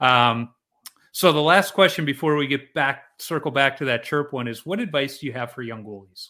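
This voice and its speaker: Speech at a moderate pace comes on a very clean recording with a silent background. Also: man. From Chicago, US Midwest. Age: 40s. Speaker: podcast host, amateur goalie. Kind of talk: casual interview chat.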